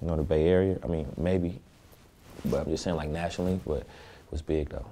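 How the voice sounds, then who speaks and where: A soft-spoken man's very deep, low voice, dark and mellow in tone, with fairly even intonation. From Oakland, California. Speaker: rapper. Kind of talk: interview.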